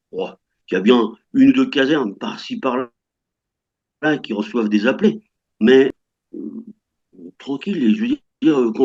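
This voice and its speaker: A moderately paced male voice, dry and close, free of echo. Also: long, frequent pauses. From France. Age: 60s. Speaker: French retiree living in Russia. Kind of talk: interview. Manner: halting, many hesitations.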